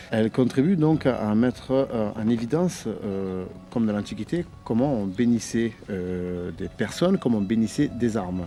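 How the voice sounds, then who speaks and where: Noticeable background noise accompanies a man speaking at a fairly slow pace. His medium pitch shows ordinary variation. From Sicily. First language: Italian (Sicilian) (speaking French). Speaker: historical reenactor. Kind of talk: documentary interview. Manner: hesitant, many fillers.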